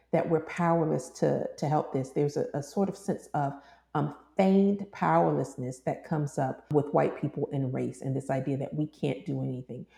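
With an American accent, a woman speaks in a very deep, low pitch with vocal fry and a dark, mellow tone against a quiet background. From US South, Georgia. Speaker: theologian and clinical psychologist. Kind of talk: interview.

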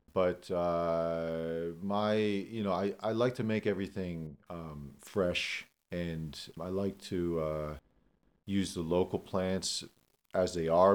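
Very slow speech in an American accent with fairly even intonation. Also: man. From northeastern Pennsylvania. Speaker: herbalist and forager. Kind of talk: interview. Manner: halting, many fillers.

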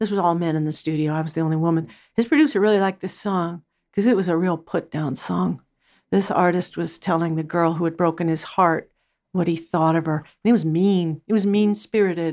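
In an American accent, a woman with a fairly low pitch and an ordinary speaking voice talks fairly quickly with ordinary pitch variation, on a very clean recording with a silent background. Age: 60s. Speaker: record producer and music professor.

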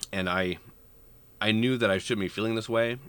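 This man speaks at a fairly low pitch. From US Midwest, Nebraska (near Omaha). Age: 40s. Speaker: music educator and PhD student. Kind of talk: interview. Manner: halting, with many fillers and repetitions.

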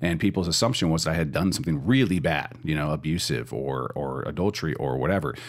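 This man has a very deep, low pitch and vocal fry. He talks at a very fast pace with lively intonation. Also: hardly any pauses. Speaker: pastor. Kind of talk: church podcast discussion and teaching.

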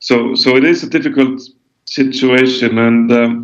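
A man with an Icelandic accent talks at medium pitch and a fairly slow pace. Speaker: author and environmental activist. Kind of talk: interview. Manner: halting, many fillers and repetitions.

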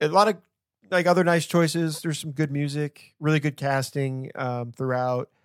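An unremarkable speaking voice with ordinary pitch variation moves at a moderate pace in a dry, close recording with no echo and a silent background. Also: man, fairly high pitch for a man. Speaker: podcast host. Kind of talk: casual chat.

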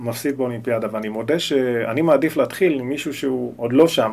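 A man talks at a moderate pace and a medium pitch. His pitch varies in an ordinary way. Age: 40s. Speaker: talent agent. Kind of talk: casual interview. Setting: office. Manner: halting.

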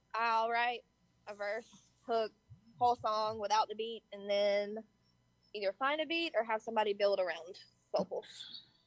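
Speaking in a Southern US accent at a moderate pace with long, frequent pauses, a woman has a fairly high pitch and ordinary pitch variation in a dry, close sound with no echo. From Georgia, US South. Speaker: rapper. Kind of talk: interview.

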